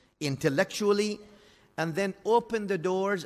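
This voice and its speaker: A speaker with an Arabic accent uses ordinary pitch variation on a very clean recording with a silent background. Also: man. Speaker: Islamic scholar. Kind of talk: religious lecture.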